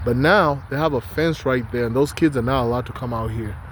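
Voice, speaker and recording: Here a man is speaking. He has a non-native accent. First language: not English. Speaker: vlogger. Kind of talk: casual vlog monologue.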